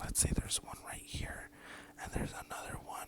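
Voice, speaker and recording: Someone whispers over noticeable background noise. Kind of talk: asmr story time. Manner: whispered.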